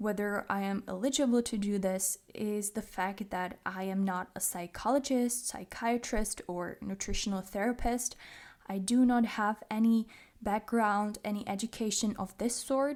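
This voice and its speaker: Speaking at a moderate pace with a Czech accent, a woman has a fairly high pitch and fairly even intonation in a very clean recording with a silent background. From Czech Republic. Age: 20s. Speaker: podcast host. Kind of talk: personal monologue.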